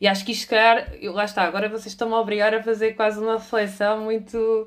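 Her fairly high voice races along at a very fast pace. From Portugal, moved between cities. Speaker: employer branding specialist and trainer. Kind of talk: interview. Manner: halting, many fillers.

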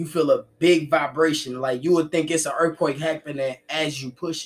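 A man with an ordinary speaking voice has a fairly high pitch. He speaks at a moderate pace with ordinary pitch variation. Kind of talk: casual podcast chat.

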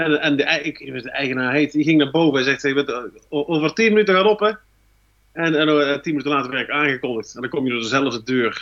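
Lively intonation runs through a plain, everyday voice. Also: man. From North Brabant, Netherlands. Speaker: stand-up comedian and columnist. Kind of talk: casual chat.

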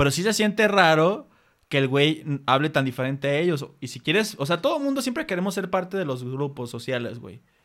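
On a very clean recording with a silent background, a man speaks fairly quickly, his fairly high voice lively in intonation. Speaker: podcast host. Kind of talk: casual chat.

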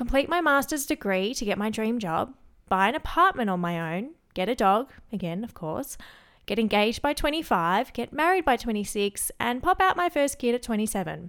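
A woman with an Australian accent speaks at a moderate pace in a fairly high voice, her pitch swinging very widely, on a very clean recording with a silent background. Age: 20s. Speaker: podcast host. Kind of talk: solo podcast monologue.

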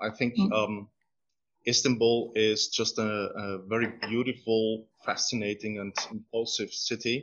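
In a Greek accent, a man speaks with a medium pitch and flat, monotone intonation. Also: fairly slow pace. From Greece, Thessaloniki. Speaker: archaeologist. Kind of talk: interview. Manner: halting.

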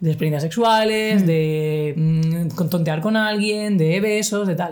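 An ordinary speaking voice at a moderate pace with lively intonation. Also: woman. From Spain, Cartagena (Murcia). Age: 30s. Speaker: LGBTI activist and podcaster. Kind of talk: casual interview chat. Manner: casual, slangy.

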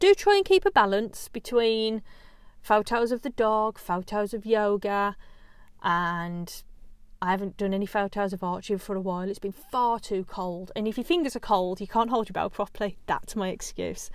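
A woman speaks with fairly even intonation in an English accent. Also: medium pitch for a woman, moderate pace, very clean recording, silent background. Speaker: yoga teacher and podcast host. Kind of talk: solo podcast monologue. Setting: home recording in a small larder.

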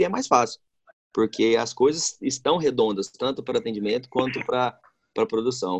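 The recording is dry and close with no echo as a man of medium pitch talks at a moderate pace with lively intonation. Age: 30s. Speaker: restaurant owner. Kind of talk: interview. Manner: hesitant, many fillers.

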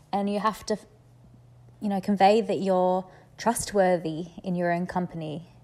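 With an Australian accent, a woman talks at medium pitch and a moderate pace. Her intonation stays fairly even over a very clean recording with a silent background. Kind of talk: voice message advice. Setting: voice message recording.

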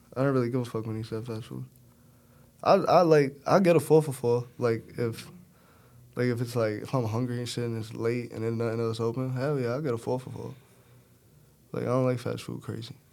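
A man with a New York accent speaks at a fairly quick pace, yet with long, frequent pauses. His intonation is fairly even while his loudness swings widely. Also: medium pitch for a man. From Brooklyn, New York. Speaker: college football quarterback. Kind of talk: casual chat.

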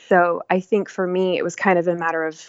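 A woman speaks in a fairly low voice with an American accent. Her intonation is monotone and flat. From Texas, Dallas. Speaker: nonprofit foundation director and storyteller. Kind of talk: casual interview. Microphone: unstable internet connection.

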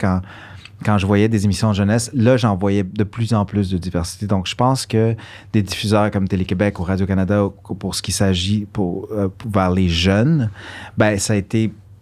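Speaking in a normal speaking voice, a man uses a fairly low pitch with fairly even intonation at a moderate pace. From Quebec (Montreal), born in Guatemala. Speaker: actor and musician. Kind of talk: casual interview. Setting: studio.

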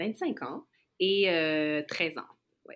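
A woman talks at a very slow pace, her pitch fairly low. Her intonation is lively. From Montreal, Quebec. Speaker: guest. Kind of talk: casual chat.

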